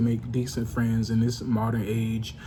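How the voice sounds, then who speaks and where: A man speaks quietly at medium pitch and a moderate pace. Room echo is audible. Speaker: vlogger. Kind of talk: casual monologue vlog. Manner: quiet, low-volume; halting, many fillers.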